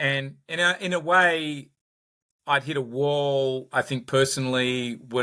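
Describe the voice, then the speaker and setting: The man's voice has a bright, sharp tone at a medium pitch, with ordinary pitch variation. The recording is very clean, with a silent background. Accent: Australian. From Australia, Sydney. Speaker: company founder and executive. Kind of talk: podcast interview. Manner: repetitive, halting starts.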